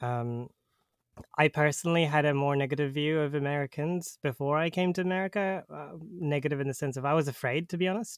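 A man with a New Zealand accent talks at a fairly quick pace and fairly high pitch, with ordinary pitch variation. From New Zealand, Auckland. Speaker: podcast host. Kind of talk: casual chat. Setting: remote call.

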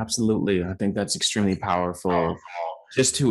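A man's fairly low voice, an ordinary speaking voice, with ordinary pitch variation, moderate pace and a quiet background. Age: 30s. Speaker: podcast host. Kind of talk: casual chat.

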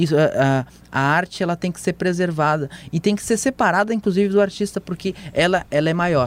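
A high-pitched male voice with ordinary pitch variation, a fairly quick pace, and a dry, close sound with no echo. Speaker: political journalist and podcast host. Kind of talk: casual chat. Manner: halting, many repetitions.

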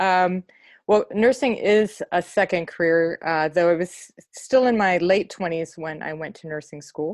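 With an American accent and a plain, everyday voice, a woman speaks at medium pitch and a fairly slow pace, with ordinary pitch variation, big swings in loudness and a dry, close sound with no echo. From US Midwest, Cleveland. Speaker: nurse coach and poet. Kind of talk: casual interview.

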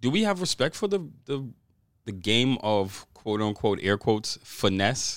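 Using an unremarkable speaking voice, a man speaks fairly slowly at medium pitch, with lively intonation and very even loudness. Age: late 30s. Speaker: podcast co-host, technician. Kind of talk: casual podcast chat.

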